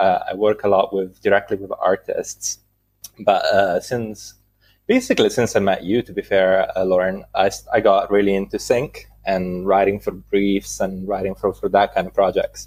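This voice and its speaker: A man with an Italian accent talks at a moderate pace. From Italy. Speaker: music producer and composer. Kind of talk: casual interview. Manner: halting, many fillers.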